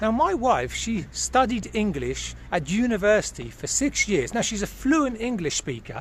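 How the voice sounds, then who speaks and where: A man speaks with a British accent. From United Kingdom. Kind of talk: casual talk to camera.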